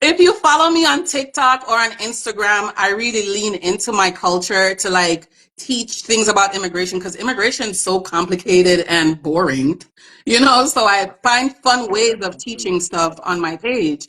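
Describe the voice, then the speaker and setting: With a Jamaican accent, the speaker sounds animated at a moderate pace, in a bright, sharp tone. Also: woman, medium pitch for a woman. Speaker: immigration attorney. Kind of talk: interview chat. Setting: live stream on social media. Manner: informal.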